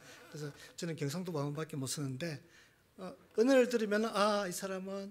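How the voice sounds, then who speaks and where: With a strong Gyeongsang accent, a man talks at a fairly quick pace in a high pitch with lively intonation. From Gyeongsang, South Korea. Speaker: missionary, seminary teacher. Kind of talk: sermon. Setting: church.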